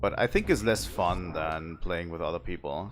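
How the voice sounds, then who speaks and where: A man speaks with a German accent. Music plays in the background. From southern Germany. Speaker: video game streamer. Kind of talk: live gameplay stream chat. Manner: casual, with frequent repetitions and fillers.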